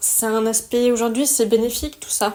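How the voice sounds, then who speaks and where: A woman at a fairly high pitch and a fairly slow pace. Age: 30s. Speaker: wellness podcaster. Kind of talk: personal testimony monologue. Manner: reflective, conversational.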